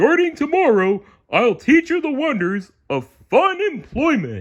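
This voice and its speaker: A man puts on a character voice. He speaks at a fairly slow pace with an extremely high pitch. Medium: read story.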